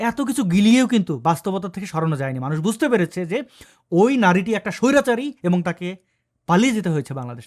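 This man's voice sits high, with an animated tone, very wide pitch swings and big swings in loudness. The recording is very clean, with a silent background. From Bangladesh. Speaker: political commentator. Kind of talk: political commentary monologue.

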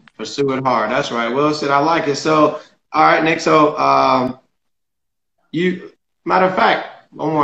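Someone with an American accent talks at a moderate pace, with audible room echo. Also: man. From Southern California. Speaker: podcast host. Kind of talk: casual interview. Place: home room. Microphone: video call.

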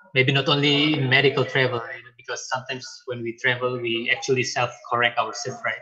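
Noticeable background noise sits behind a man speaking at a very fast pace with hardly any pauses. His intonation is monotone and flat. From Indonesia. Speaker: lecturer and webinar moderator; lecturer, webinar moderator. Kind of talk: moderated panel discussion. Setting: video call. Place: home room. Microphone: earbuds.

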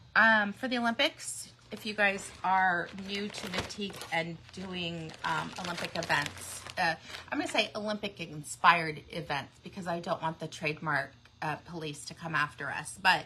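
With noticeable background noise, a woman talks at a moderate pace with big swings in loudness. Her fairly low pitch has ordinary pitch variation. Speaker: shop owner host. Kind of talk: casual livestream chat. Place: shop. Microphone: phone near.

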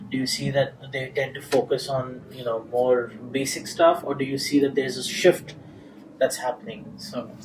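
Noticeable background noise sits under speech at a moderate pace. The loudness swings widely, while pitch variation is ordinary. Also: man. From India. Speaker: tech journalist. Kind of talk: interview. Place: meeting room.

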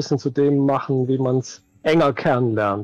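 A man speaks with ordinary pitch variation. The sound is dry with no echo. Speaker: stream co-host. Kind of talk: casual conversation. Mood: relaxed, content. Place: home room.

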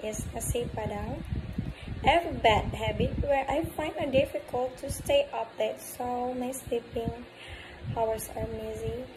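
Moderately paced speech over noticeable background noise. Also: woman. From Bengkulu, Indonesia. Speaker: university student. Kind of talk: class assignment self-introduction. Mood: friendly, smiling. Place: home room. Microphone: phone near.

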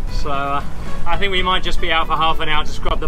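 Music can be clearly heard behind the speech. The man rattles along at a very rapid speed. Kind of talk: casual vlog chat. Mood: cheerful, wry. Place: boat. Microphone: camera far.

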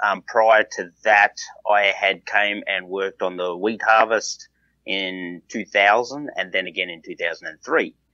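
Someone with an Australian accent talks at a fairly slow pace. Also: man. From southeast Australia. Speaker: farmer and entrepreneur. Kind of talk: casual interview.

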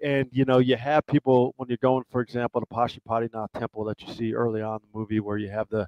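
A man is speaking. The sound is dry with no echo over a quiet background. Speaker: guest. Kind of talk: interview answer. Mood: friendly, smiling. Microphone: headset.

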